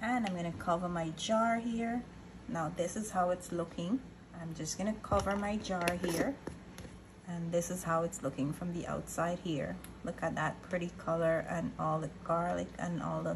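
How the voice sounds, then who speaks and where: At a moderate pace, a woman talks with fairly low pitch and ordinary pitch variation. Noticeable background noise sits behind her. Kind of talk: tutorial. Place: kitchen. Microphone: phone near.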